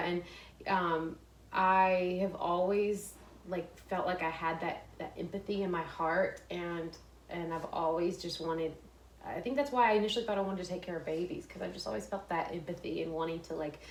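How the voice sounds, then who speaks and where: With audible room echo, a woman with an American accent speaks at a moderate pace in a fairly low voice with fairly even intonation. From Texas, small town. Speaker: fashion influencer and former nurse. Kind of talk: interview conversation. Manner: halting, many fillers and restarts.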